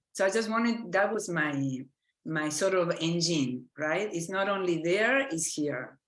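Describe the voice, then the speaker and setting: A woman with an Argentine accent speaks fairly slowly in a fairly low voice with lively intonation, and room echo is audible. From Argentina. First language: Spanish. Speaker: physician and medical educator. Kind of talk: lecture. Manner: halting.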